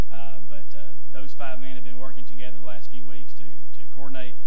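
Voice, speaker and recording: Light background noise sits behind a man's voice. His pitch is very deep and low, his intonation monotone and flat. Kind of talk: church announcement speech. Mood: calm, pleased. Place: church. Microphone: podium.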